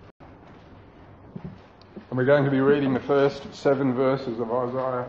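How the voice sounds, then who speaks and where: Amid noticeable background noise and audible room echo, a man at medium pitch speaks very slowly with fairly even intonation. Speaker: pastor. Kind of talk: sermon.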